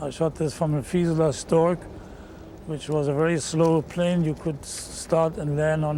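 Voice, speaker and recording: A man speaks with a German accent in a monotone, flat intonation. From Germany. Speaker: war veteran. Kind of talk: interview.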